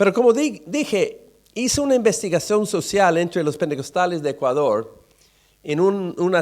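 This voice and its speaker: A man at a moderate pace with a high pitch and very wide pitch swings, in a very clean recording over a silent background. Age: 60s. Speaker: pastor. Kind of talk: sermon. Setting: church. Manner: halting.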